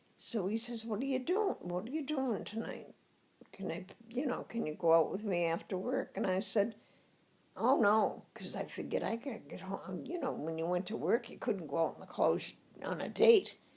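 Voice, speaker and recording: Speaking with a Boston accent, a woman uses lively intonation at medium pitch and a moderate pace. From Boston area, Massachusetts (Somerville). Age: 90s. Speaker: elderly woman sharing life story. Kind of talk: oral history interview.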